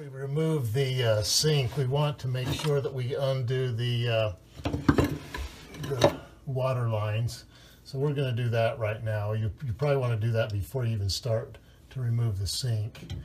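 The pace is moderate. There is light background noise. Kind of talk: tutorial. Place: bathroom. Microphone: phone near.

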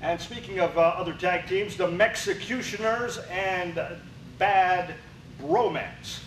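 Fairly even intonation at a fairly slow pace, with audible room echo and light background noise. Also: man, high pitch for a man. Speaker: wrestling show announcer. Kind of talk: wrestling show intro and sign-off. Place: studio.

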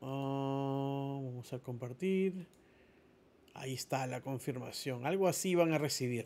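A man talks at a very slow pace in a fairly high pitch with ordinary pitch variation, on a very clean recording with a silent background. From Peru (Lima). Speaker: immigration lawyer. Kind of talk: tutorial. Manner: halting.

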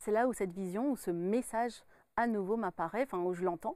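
With a normal speaking voice, the speaker talks at a fairly quick pace and ordinary pitch variation, in a dry sound with no echo against a quiet background. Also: woman. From France, Burgundy (Dijon). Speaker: medium and author. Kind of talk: interview. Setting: studio. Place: studio. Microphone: lapel.

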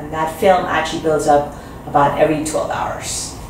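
A woman with a very deep, low pitch speaks amid light background noise and audible room echo. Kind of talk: interview answer. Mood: calm, explanatory. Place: office.

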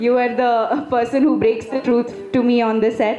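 A woman with a non-native accent speaks at a high pitch, fairly slowly and with fairly even intonation. There is audible room echo and light background noise. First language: not Telugu. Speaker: film actress. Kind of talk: speech at a press event. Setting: stage at a film pre-release event. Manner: halting, many fillers. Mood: warm, grateful. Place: stage. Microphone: handheld.

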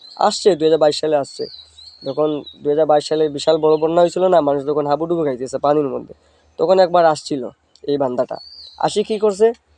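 The man's voice sits fairly high. His pitch varies an ordinary amount. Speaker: political vlogger. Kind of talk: casual political monologue. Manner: animated.

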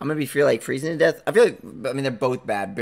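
A man speaks at a fairly quick pace. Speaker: YouTube reaction streamer. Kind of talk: casual reaction commentary. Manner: mumbles sometimes. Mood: relaxed, jokey.

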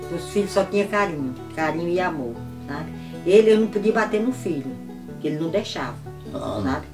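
Clear music plays behind a woman speaking. Her fairly low pitch moves in very wide swings. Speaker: wife of a centenarian former military policeman. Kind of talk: interview answer. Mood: warm, animated storytelling. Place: home room.

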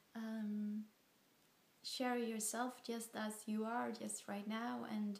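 Amid audible room echo, a woman speaks at a very slow pace and a fairly high pitch, her intonation monotone and flat. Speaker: vlogger. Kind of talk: casual talk to camera. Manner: slow, hesitant. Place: home room. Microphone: phone near.

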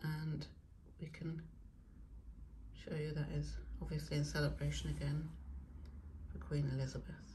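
Audible room echo surrounds a woman speaking at a moderate pace, her low pitch paired with a slightly mellow tone.

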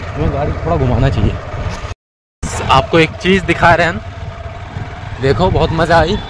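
This man's voice sits fairly high for a man, with a slightly husky edge, ordinary pitch variation and a moderate pace.

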